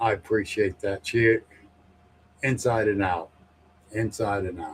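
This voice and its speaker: A man's somewhat breathy voice at a fairly slow pace, with fairly even intonation. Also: fairly low pitch for a man. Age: 60s. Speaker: paranormal podcast host, guest on show. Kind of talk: casual chat.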